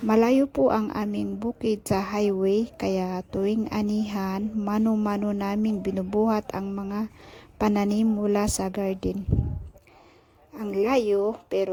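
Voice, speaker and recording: A woman's medium-pitched voice at a very slow pace, with fairly even intonation. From Philippines, Benguet highlands. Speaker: vlogger. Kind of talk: vlog narration. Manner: polite, uses po.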